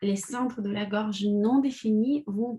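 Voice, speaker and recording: A woman speaks in a Russian accent at a fairly high pitch. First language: Russian (speaking French). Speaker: personal development coach. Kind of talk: live video talk.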